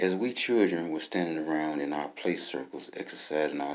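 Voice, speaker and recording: This man speaks with an Alabama accent. His pace is moderate. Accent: Southern US (Alabama). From US South, Birmingham, Alabama. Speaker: author. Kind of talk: reading aloud.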